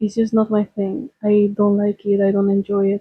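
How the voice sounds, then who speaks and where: Speaking with a Spanish accent, a woman talks at a moderate pace and a medium pitch in a somewhat breathy voice. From Spain. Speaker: lifestyle vlogger. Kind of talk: personal vlog talk.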